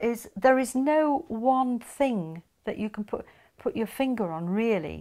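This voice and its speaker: A woman with a Yorkshire accent and lively intonation, on a very clean recording with a silent background. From northern England, Yorkshire (Huddersfield). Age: 70s. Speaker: interviewee, married woman. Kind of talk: casual interview chat.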